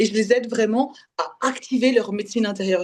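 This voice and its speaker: This woman talks at a fairly quick pace in a fairly high pitch, with ordinary pitch variation. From Belgium. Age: 20s. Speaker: spiritual development coach. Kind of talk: podcast interview testimony. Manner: halting.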